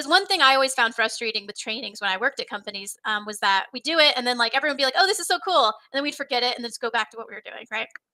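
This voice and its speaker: Very fast, high-pitched female speech with a bright, sharp tone, lively intonation, an animated delivery, big swings in loudness and hardly any pauses. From Texas. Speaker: software trainer, company founder. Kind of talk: casual interview on live stream. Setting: live stream.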